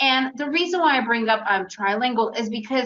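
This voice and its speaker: A woman with an American accent, fairly high in pitch, at a moderate pace. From United States. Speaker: day trader. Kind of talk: webinar presentation. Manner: animated.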